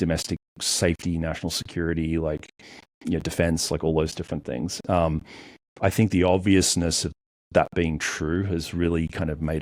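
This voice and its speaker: A man with an Australian accent and very deep, low pitch, at a fairly quick pace with fairly even intonation, in a very clean recording with a silent background. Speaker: cybersecurity entrepreneur. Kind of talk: podcast interview. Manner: hesitant, filler-heavy.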